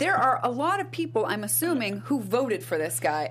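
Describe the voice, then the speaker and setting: A woman's fairly quick speech competes with noticeable background noise. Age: 30s. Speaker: lawyer and legal news show host. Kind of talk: casual panel discussion.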